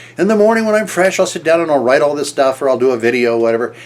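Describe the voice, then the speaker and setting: Over noticeable background noise, a man talks very fast with very wide pitch swings. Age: 70s. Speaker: business and marketing coach. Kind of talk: motivational talk to camera. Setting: recorded video to camera. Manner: conversational with frequent fillers and restarts.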